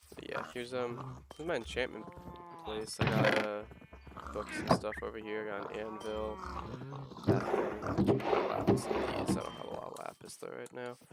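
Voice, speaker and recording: A man talks with long, frequent pauses and big swings in loudness over noticeable background noise. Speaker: gaming youtuber. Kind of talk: casual gameplay commentary. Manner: fast.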